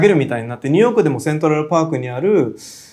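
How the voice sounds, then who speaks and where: The speaker is a man with a fairly high pitch. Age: 40s. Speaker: contemporary artist. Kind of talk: interview. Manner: frequent fillers and hesitations.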